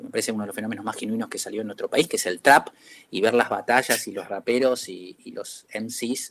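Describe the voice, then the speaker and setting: Speaking at a fairly quick pace, a man talks in a Rioplatense accent. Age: 50s. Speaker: advertising executive. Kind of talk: interview. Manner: halting.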